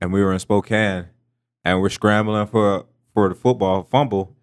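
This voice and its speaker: In a very clean recording with a silent background, a man with an American accent speaks fairly slowly in a fairly low voice with fairly even intonation. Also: long, frequent pauses. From Pittsburgh, Pennsylvania. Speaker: pro football player. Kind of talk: casual chat.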